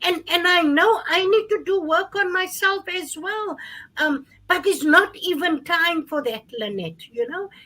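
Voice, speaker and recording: At a fairly slow pace, the raised, projected voice carries a bright, sharp tone. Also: woman, extremely high pitch for a woman, ordinary pitch variation. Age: 50s. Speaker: gender-based violence advocate. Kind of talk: panel discussion.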